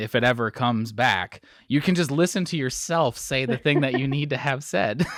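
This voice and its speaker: This man has an unremarkable speaking voice, medium in pitch with ordinary pitch variation. He speaks at a moderate pace with an American accent. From Wisconsin, US. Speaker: bowling podcast host. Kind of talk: casual interview.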